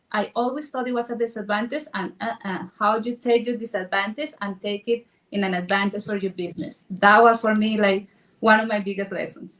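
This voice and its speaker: Speaking at a fairly quick pace, a woman with a strong non-native accent uses a fairly high pitch and ordinary pitch variation. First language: Spanish. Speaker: real estate agent. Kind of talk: panel discussion.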